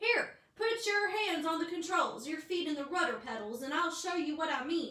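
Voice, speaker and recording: A woman in a put-on character voice, raised and projected, at extremely high pitch. Her moderate pace carries a slight echo. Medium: read story. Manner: casual, plain-spoken.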